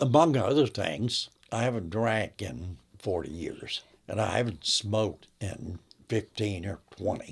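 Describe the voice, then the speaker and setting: A man with a fairly low pitch and a somewhat breathy voice talks at a fairly slow pace with lively intonation on a very clean recording with a silent background. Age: 80s+. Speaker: grandfather telling love story. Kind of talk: interview storytelling. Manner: conversational, with hesitations.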